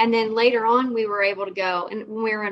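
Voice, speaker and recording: A woman with an American accent, fairly high-pitched, at a moderate pace, in an unremarkable speaking voice. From Southern West Virginia, US. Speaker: guest co-host, podcaster. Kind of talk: casual chat.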